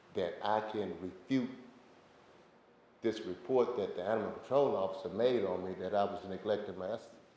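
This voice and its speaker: Noticeable background noise and audible room echo surround this recording. A man speaks at a moderate pace. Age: 70s. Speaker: member of the public addressing city council. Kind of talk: public comment at council meeting.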